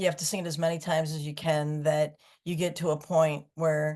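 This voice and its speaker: Against a quiet background, a woman with an American accent speaks in monotone, flat intonation at a very deep, low pitch. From Michigan, US. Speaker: singer-songwriter. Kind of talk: interview.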